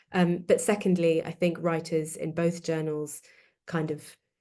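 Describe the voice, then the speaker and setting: At a moderate pace, a woman speaks in a fairly low voice with a dark, mellow tone. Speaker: academic author presenting her book. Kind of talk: academic webinar talk. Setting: online webinar. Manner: hesitant with frequent fillers.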